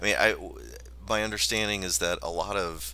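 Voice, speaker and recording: A man's vocal fry at a fairly slow pace. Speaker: assistant professor of English. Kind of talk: casual literary discussion. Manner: halting, many repetitions.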